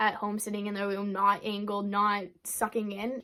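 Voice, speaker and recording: Speaking at a fairly quick pace, a woman uses a fairly high pitch. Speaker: fitness vlogger. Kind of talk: casual chat. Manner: fast.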